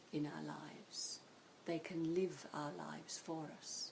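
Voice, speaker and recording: Very slowly, a woman speaks in a very deep, low voice with a dark, mellow tone and monotone, flat intonation. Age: 60s. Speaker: psychotherapist. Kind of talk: interview.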